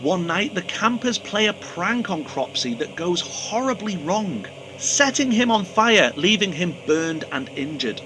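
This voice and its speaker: A man speaks in a raised, projected voice, high-pitched with very wide pitch swings, at a fairly slow pace with hardly any pauses. Noticeable background noise sits behind him. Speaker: horror movie reviewer. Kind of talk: casual talk to camera. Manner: humorous.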